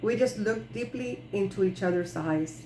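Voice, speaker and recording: In a space with audible room echo, a woman speaks at a moderate pace with lively intonation. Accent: Spanish. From Puerto Rico. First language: Spanish. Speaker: clown and author reading her ebook. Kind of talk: reading aloud.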